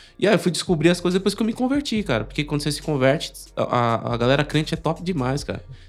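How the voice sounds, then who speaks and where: Very fast speech from a man with a fairly high voice and lively intonation. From São Paulo, Brazil. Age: 30s. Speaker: church member. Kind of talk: casual chat. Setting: live stream. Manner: animated.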